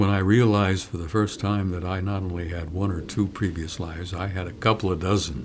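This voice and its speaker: The speech moves at a fairly quick pace with hardly any pauses. Room echo is audible. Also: man, very deep, low pitch for a man. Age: 80s+. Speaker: former military intelligence analyst. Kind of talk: interview. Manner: animated.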